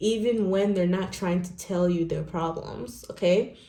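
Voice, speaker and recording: Noticeable background noise is present. Through it, a woman talks. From Nigeria. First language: not English. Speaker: tarot reader. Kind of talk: tarot reading. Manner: animated.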